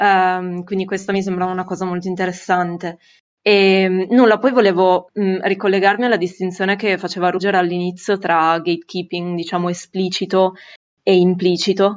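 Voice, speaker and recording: A woman speaks at medium pitch with monotone, flat intonation. The background is quiet. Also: moderate pace. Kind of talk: discussion contribution. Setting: video call.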